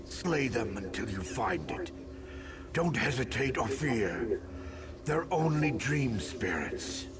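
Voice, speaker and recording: Loud background noise sits behind a man doing a cartoonish character voice at medium pitch. He talks at a fairly slow pace. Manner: paternal, measured.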